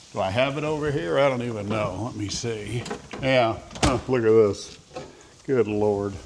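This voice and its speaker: A man with an American accent talks in a relaxed tone at a moderate pace and medium pitch with ordinary pitch variation, with audible room echo and noticeable background noise. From northern Vermont, US. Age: 60s. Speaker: keto vlogger. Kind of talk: casual vlog monologue. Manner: relaxed, rambling with fillers.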